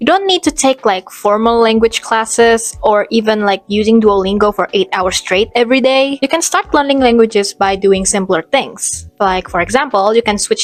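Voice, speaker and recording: In an Indonesian accent, a woman speaks at a fairly high pitch and a fairly quick pace, with lively intonation. The sound is dry and close with no echo, and music plays in the background. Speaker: student vlogger. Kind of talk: creative vlog. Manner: casual.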